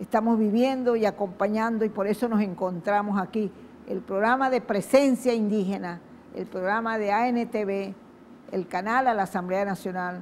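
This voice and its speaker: Intonation stays fairly even as the woman talks at a moderate pace in a medium pitch. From western Venezuela, Wayuu people. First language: Wayuu (speaking Spanish). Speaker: TV host. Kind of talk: TV program introduction.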